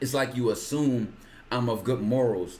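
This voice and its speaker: A man speaks in a dark, mellow tone that is somewhat breathy. His pitch variation is ordinary. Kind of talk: casual chat. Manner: fast.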